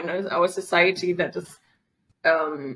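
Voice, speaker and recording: A woman speaks with a German accent. Her pitch is medium and her intonation fairly even. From Germany. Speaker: feminist activist. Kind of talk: podcast interview. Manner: halting, many fillers.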